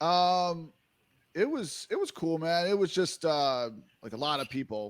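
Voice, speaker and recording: A man's high-pitched voice in a strong New Jersey accent, with lively intonation and a fairly slow pace, on a very clean recording with a silent background. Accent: heavy New Jersey. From New Jersey, US. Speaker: music producer. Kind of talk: casual interview chat. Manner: halting, filler-heavy.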